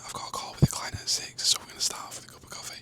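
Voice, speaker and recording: A man whispering with a British accent over noticeable background noise. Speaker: fitness coach and vlogger. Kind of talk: vlog narration. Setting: at home, kitchen.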